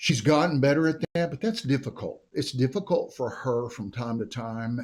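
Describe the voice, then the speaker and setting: The speaker goes at a moderate pace with an American accent. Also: man. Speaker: mayor. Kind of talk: interview. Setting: podcast studio. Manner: loud.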